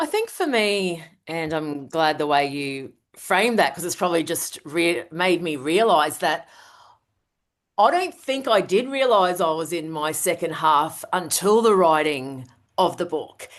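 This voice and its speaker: A woman speaks in a normal speaking voice at a fairly low pitch and a fairly slow pace, with lively intonation. The background is quiet. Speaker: author and leadership strategist. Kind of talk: podcast interview.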